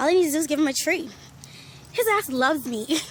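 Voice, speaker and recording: Over noticeable background noise, a woman talks very fast at a high pitch with lively intonation. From Bahamas. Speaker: vlogger. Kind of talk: casual vlog. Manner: animated.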